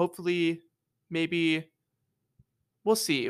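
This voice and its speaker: A man talks in an ordinary speaking voice with a fairly high pitch. The recording is very clean, the background silent. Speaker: podcast co-host, college student. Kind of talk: casual chat.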